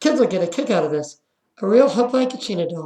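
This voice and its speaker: At a very fast pace, a put-on character voice runs at a fairly high pitch. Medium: read story.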